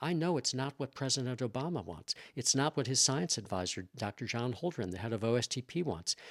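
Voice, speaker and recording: Very fast, lively speech from a man with an American accent, dry and close with no echo on a very clean recording with a silent background. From US Midwest, Chicago. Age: 60s. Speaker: scientist and former professor. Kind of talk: interview. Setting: in person. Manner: repetitive, restarting phrases.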